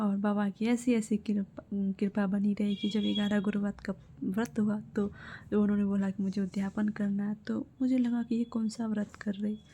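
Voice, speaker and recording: Soft-spoken and somewhat breathy, a woman talks at a moderate pace in a dark, mellow tone with monotone, flat intonation and very even loudness. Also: medium pitch for a woman. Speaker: devotional vlogger. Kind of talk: personal testimony.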